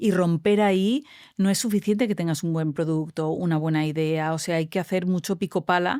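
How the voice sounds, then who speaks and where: On a very clean recording with a silent background, a woman with a Spanish accent speaks at a moderate pace and fairly low pitch, with a dark, mellow tone and very even loudness. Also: ordinary pitch variation. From Spain, Valencia. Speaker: tech entrepreneur. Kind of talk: interview. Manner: animated.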